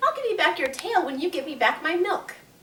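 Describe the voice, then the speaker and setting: Putting on a squeaky character voice, a woman speaks at a fairly quick pace, her extremely high pitch making very wide swings. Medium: read story.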